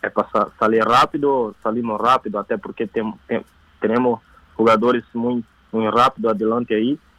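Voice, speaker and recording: The sound is dry and close with no echo as a man talks at a medium pitch with fairly even intonation. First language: Portuguese (speaking Spanish). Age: 20s. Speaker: footballer. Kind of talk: phone interview. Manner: halting.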